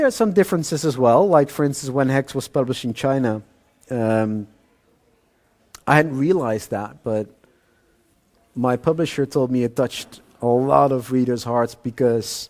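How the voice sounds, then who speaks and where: Long, frequent pauses mark the speech of a man with a Dutch accent and a medium pitch. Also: ordinary pitch variation, moderate pace. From Netherlands. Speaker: thriller author. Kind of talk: interview at author event. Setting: live audience event. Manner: hesitant with fillers.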